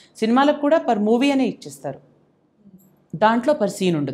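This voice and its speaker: A woman is talking. The pitch of her voice rises and falls very widely. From Telangana, India. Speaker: dubbing artist. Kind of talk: interview. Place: studio.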